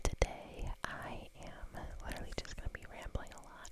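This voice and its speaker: A woman is whispering at a very slow pace. Noticeable background noise runs underneath. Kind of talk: ASMR whisper ramble. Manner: whispered.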